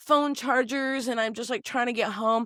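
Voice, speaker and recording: Loud and animated, a woman speaks at a high pitch and moderate pace on a very clean recording with a silent background, the sound dry and close with no echo. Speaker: podcast guest, host's childhood friend. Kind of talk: casual chat. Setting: studio.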